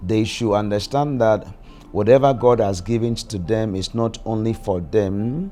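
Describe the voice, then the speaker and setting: Over music in the background, a man talks at a fairly slow pace with a medium pitch and ordinary pitch variation. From Ghana. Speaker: prophet and church leader. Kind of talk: documentary interview answer.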